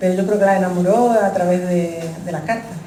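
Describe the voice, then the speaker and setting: Soft-spoken and at a fairly quick pace, the voice carries audible room echo. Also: woman. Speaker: author presenting her book. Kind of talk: book presentation talk. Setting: public event with audience. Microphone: uses a microphone because she speaks quietly.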